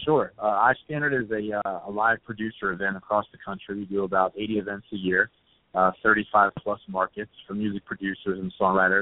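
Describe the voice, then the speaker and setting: At a moderate pace, a man with an unremarkable speaking voice talks at a fairly low pitch with fairly even intonation and big swings in loudness. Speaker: music event organizer and manager. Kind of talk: casual interview. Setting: phone call.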